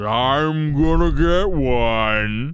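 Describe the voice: The man's pitch is medium. He speaks in a put-on character voice.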